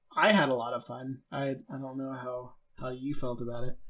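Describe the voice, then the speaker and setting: Medium in pitch, a man talks at a moderate pace with fairly even intonation in a normal speaking voice. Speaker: podcast host. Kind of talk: interview question.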